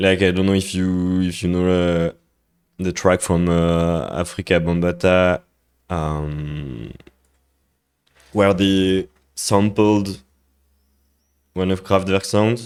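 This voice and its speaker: In a French accent, a man speaks at a very slow pace with a very deep, low pitch. His intonation is fairly even, and the recording is very clean with a silent background. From France. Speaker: music producer streamer. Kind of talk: live stream tutorial. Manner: halting, many fillers.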